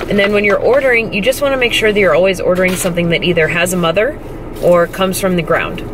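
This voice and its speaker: Noticeable background noise accompanies a woman's speech. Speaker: fitness competitor vlogger. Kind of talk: casual vlog chat. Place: car. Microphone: phone near.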